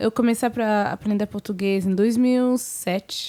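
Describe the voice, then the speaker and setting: A woman with a French accent talks at a fairly slow pace with ordinary pitch variation on a very clean recording with a silent background. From Senegal and Cameroonian family, francophone. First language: French (speaking Portuguese). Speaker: singer, guest. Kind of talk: casual interview.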